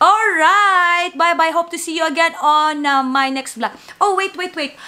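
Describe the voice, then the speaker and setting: With noticeable background noise behind her, a woman projects a raised voice at an extremely high pitch, speaking at a fairly slow pace with ordinary pitch variation. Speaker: vlogger and singer. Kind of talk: casual vlog chat. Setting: at home.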